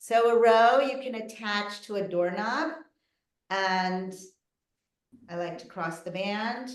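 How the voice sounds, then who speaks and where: A woman's very slow speech with lively intonation and audible room echo. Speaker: physical therapist. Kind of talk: live online presentation with exercise demonstration.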